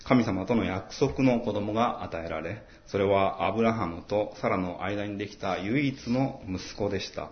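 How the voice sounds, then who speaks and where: A man's fairly low voice at a fairly slow pace, with hardly any pauses and ordinary pitch variation, plus noticeable background noise and audible room echo. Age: 40s. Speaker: pastor. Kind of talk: sermon. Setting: church.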